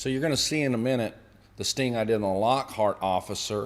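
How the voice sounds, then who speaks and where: Ordinary pitch variation marks this man's voice on a very clean recording with a silent background. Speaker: former narcotics officer turned activist. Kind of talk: video commentary livestream. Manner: animated; loud.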